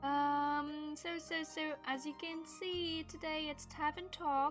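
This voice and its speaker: Against music in the background, a woman speaks very slowly in a high-pitched voice with monotone, flat intonation. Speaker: streamer. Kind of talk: casual live-stream gameplay talk.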